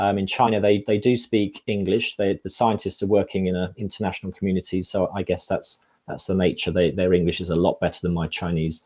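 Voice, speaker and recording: Barely pausing, a man talks at a fairly quick pace in a fairly low pitch with fairly even intonation. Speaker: climate scientist presenter. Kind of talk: panel Q&A discussion. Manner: fast; halting, many repetitions.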